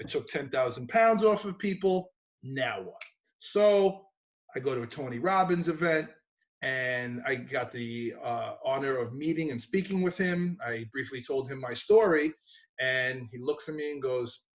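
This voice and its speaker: Lively intonation runs through this voice with a New York accent. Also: man, fairly high pitch for a man. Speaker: gym owner and personal trainer. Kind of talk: interview.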